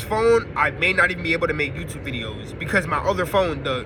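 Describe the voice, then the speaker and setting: Over noticeable background noise, a high-pitched man talks very fast with lively intonation. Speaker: spiritual YouTuber. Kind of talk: casual monologue to camera. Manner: halting, self-correcting.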